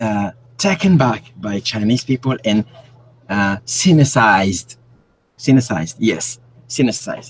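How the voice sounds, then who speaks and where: A man at medium pitch, fairly slow and lively, with long, frequent pauses and music in the background. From Cameroon. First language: French. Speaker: independent researcher. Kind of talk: interview. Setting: live stream. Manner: halting.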